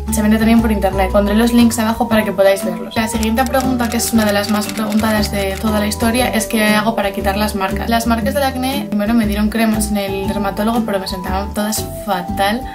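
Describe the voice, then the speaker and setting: A woman talks fairly quickly while music plays clearly behind her. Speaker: beauty vlogger. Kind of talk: casual talk to camera. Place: home room. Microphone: phone near.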